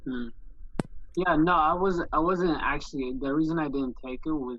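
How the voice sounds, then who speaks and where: In a non-native accent, this voice moves at a fairly slow pace. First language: not English. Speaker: trading student. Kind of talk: casual Q&A chat. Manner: halting.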